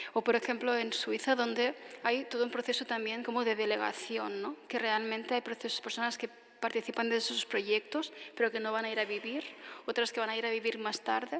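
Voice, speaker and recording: Intonation stays monotone and flat while the speech runs at a fairly quick pace. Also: woman, fairly high pitch for a woman. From Tarragona, Catalonia, Spain. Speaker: architect giving a lecture. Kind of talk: audience Q&A answer after lecture.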